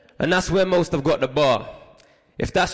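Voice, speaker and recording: Noticeable background noise sits under this clip. A man speaks at a high pitch with fairly even intonation. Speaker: spoken word poet and author. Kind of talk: spoken word performance. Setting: stage with audience.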